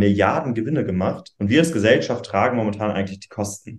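A man with an unremarkable speaking voice, fairly low in pitch, at a fairly quick pace with ordinary pitch variation. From northern Germany, Schleswig-Holstein. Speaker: youth political spokesperson. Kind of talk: interview.

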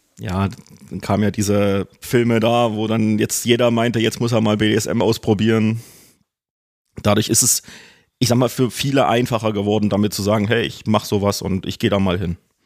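A man's fairly low, monotone voice with flat intonation, on a very clean recording with a silent background. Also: moderate pace. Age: 40s. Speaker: BDSM practitioner, rope rigger. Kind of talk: casual interview.

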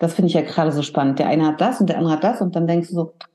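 A woman speaks in a calm tone. Her voice has a dark, mellow tone. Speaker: hairdresser and salon owner. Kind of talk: casual interview. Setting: video call from her salon.

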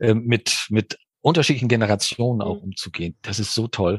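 A man of medium pitch speaks at a moderate pace, somewhat breathy, in a dry, close sound with no echo and a quiet background. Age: 60s. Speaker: business coach and mediator. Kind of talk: interview. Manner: animated.

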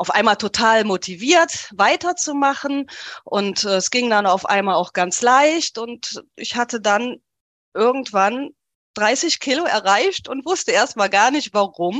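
A woman's fairly high voice, very slow, with lively intonation and a dry, close sound with no echo. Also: quiet background. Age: 40s. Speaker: coaching client sharing weight-loss story. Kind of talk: interview, personal testimony.

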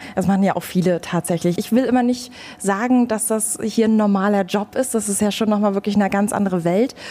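With noticeable background noise, a woman at a medium pitch talks fairly quickly and with fairly even intonation. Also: very even loudness. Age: 20s. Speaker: radio podcast host. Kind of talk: interview.

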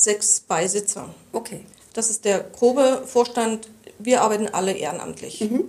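Noticeable background noise accompanies a moderate pace and ordinary pitch variation in the speech. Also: woman. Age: 50s. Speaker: hospice association chairwoman. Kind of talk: interview. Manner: halting, many fillers.

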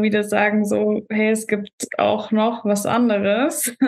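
Her voice is fairly high in pitch for a woman. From Germany, Stuttgart. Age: 20s. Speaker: bodybuilding stage athlete. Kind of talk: casual podcast interview.

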